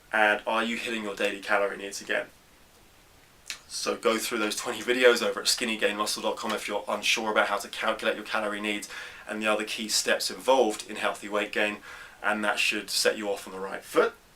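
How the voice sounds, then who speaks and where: Talking at a very fast pace in a flat monotone, a man with a fairly low pitch comes through over noticeable background noise. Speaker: fitness coach answering viewer questions. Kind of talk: Q&A tutorial.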